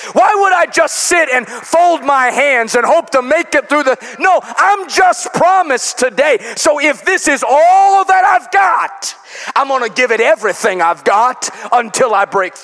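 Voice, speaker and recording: A man with an American accent speaks at a fairly slow pace in an extremely high pitch, with very wide pitch swings and a playful, animated tone. Noticeable background noise runs underneath. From US Midwest, Chicago. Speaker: pastor. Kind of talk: revival sermon at an evening youth service, building toward an exhortation. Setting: church with live congregation. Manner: playful asides and call-and-response with the congregation; animated, rhythmic preaching with rising rhetorical questions.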